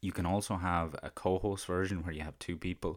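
A man with an Irish accent speaks in a monotone, flat intonation on a very clean recording with a silent background. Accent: Irish (Carlow), fairly noticeable. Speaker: podcast host. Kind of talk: solo monologue on podcasting. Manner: hesitant, filler words.

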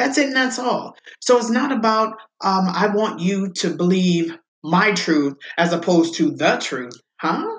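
Somewhat breathy, a woman speaks at a fairly slow pace. Her pitch is medium, with lively intonation. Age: 40s. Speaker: religious podcast host. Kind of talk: bible teaching monologue.

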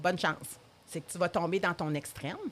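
Speaking with a Quebec accent, a woman keeps a moderate pace. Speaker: addiction therapist. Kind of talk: interview.

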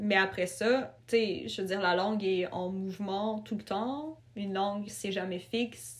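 Over noticeable background noise, a woman speaks at a fairly slow pace and medium pitch with lively intonation. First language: not French; family of Ukrainian and Russian origin (speaking French). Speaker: writer. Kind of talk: casual interview.

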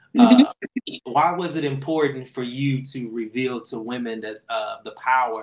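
A man's plain, everyday voice, medium in pitch with ordinary pitch variation, at a moderate pace with big swings in loudness. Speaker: podcast host and priest. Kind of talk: casual podcast conversation. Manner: relaxed, informal.

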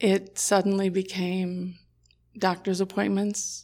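A woman speaks at a medium pitch in a monotone, flat way. The recording is very clean, with a silent background. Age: 60s. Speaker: nurse. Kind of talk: casual chat.

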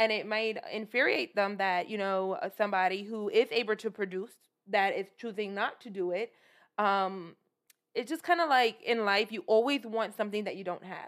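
At a moderate pace, someone with a New York accent speaks with ordinary pitch variation. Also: woman, fairly high pitch for a woman, very clean recording, silent background. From New York City (Brooklyn, Flatbush). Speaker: podcast co-host. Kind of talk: casual chat.

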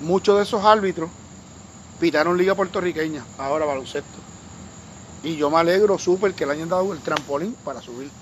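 At a fairly quick pace, a man with a high pitch talks with long, frequent pauses. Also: ordinary pitch variation. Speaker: sports commentator. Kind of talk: casual chat. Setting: at the host's home.

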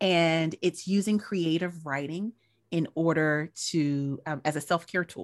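In a very clean recording with a silent background and a dry, close sound with no echo, a woman talks with an American accent in an unremarkable speaking voice. Her pitch is fairly low, her intonation fairly even, and her pace fairly slow. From US South, North Carolina. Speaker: educational consultant and actress. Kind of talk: casual chat.

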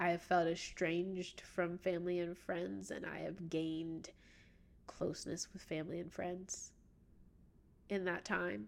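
At a fairly slow pace, a woman with a fairly low pitch and fairly even intonation talks with long, frequent pauses. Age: 20s. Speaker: podcast host. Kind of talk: casual solo monologue.

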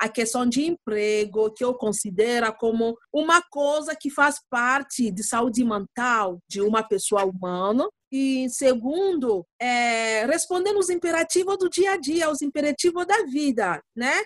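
At a fairly slow pace and with hardly any pauses, a woman speaks at a high pitch with very wide pitch swings, the sound dry and close with no echo. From Democratic Republic of the Congo. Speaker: lawyer and refugee community advocate. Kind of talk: interview. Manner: halting, searching for words.

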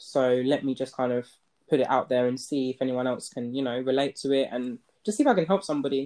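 A woman speaks at a very fast pace. Her voice has a dark, mellow tone and a very deep, low pitch. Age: 20s. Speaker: first-time mother working in finance. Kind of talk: casual chat.

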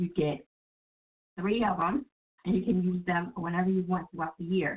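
With a New Jersey accent, a woman talks at a medium pitch. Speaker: internet radio host. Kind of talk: casual call-in radio chat. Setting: online radio studio with phone callers.

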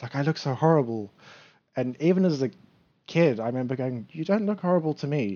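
A man speaks at a fairly high pitch with lively intonation. His pace is fairly quick, broken by long, frequent pauses. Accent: British. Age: 30s. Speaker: bodybuilder. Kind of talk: casual chat.

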